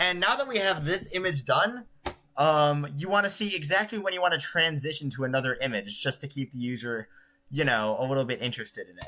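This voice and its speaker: A man's fairly high-pitched, lively voice at a fairly quick pace, with big swings in loudness and noticeable background noise. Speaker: streamer making video tutorials. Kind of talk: live-streamed editing tutorial. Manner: fast.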